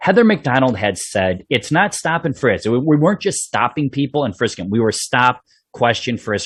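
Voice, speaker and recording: Against a quiet background, a man with a Chicago accent talks at a fairly quick pace with lively intonation and hardly any pauses. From Chicago South Side (Bridgeport). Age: 50s. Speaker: police sergeant, podcast host. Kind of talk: interview podcast. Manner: casual.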